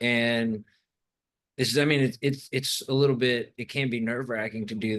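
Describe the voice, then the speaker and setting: At a moderate pace, a man speaks at a medium pitch in a monotone, flat intonation. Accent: Southern US. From US South, Arkansas Ozarks. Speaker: documentary filmmaker. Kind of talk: casual chat. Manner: halting.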